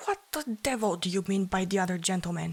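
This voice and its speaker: A growling, female-sounding put-on character voice at a middle pitch and a fairly quick pace. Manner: snarling.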